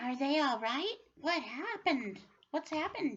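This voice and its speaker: A put-on character voice at a high pitch moves along at a moderate pace. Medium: read story. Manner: worried.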